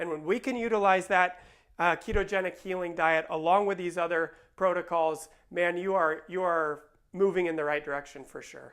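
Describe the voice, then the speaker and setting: Against a quiet background, a man with a high pitch speaks with fairly even intonation. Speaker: chiropractor. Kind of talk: informational talk to camera. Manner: fast; casual with fillers.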